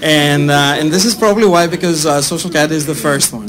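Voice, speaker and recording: A man speaks with a strong Greek accent. His pitch sits fairly high. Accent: thick Greek. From Greece. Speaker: startup CEO. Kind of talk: sales pitch. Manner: hesitant, many fillers.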